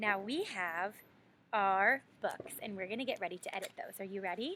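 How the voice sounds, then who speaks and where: Her tone bright and sharp, a woman talks at a medium pitch and a moderate pace. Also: ordinary pitch variation. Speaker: elementary school teacher. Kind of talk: online lesson for young children. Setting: outdoors. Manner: loud; animated.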